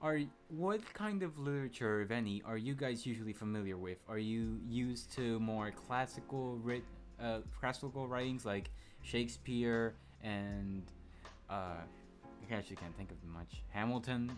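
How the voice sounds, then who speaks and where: Over music in the background, a man speaks with lively intonation. His pitch is medium and his pace moderate. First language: Spanish. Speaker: podcast host. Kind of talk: casual chat. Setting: live stream. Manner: halting.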